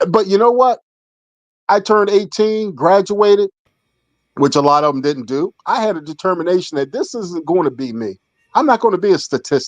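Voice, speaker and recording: A man speaks with an American accent at a fairly quick pace. His high voice carries lively intonation. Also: dry, close sound with no echo. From Philadelphia, US. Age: 60s. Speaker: air force veteran. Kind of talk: casual chat.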